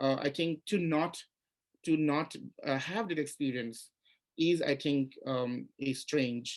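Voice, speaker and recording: A man with an Assamese accent speaks very slowly at a fairly high pitch, keeping his loudness very even and his pitch variation ordinary. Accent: Indian English, Assamese. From India, Assam. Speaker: writer and literature professor. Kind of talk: panel interview at literary festival. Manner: halting, many repetitions.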